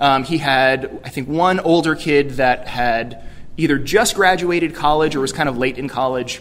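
In an American accent, a man speaks in a normal speaking voice with a fairly high pitch. His pace is moderate, and his pitch varies in an ordinary way. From New York City. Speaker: youth ministry director; keynote speaker. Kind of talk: keynote speech. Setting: conference stage with audience. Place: hall. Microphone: podium.

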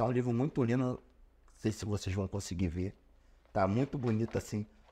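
Fairly low in pitch with a dark, mellow tone, a man speaks at a moderate pace, somewhat breathy, with ordinary pitch variation. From Rio de Janeiro, Brazil. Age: 40s. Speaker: rapper and writer; interview guest. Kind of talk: interview. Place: studio. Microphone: studio mic.

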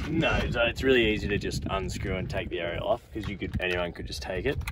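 A man talks at a fairly quick pace in a fairly low pitch. The sound is dry with no echo, and there is noticeable background noise. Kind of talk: casual vlog chat. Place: open country.

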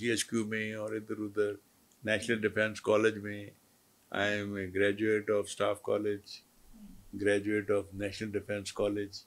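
Speaking at a very slow pace, a man uses a fairly low voice. His intonation is monotone and flat. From Pakistan. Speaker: retired army brigadier, war veteran. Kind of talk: interview. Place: studio. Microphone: lapel.

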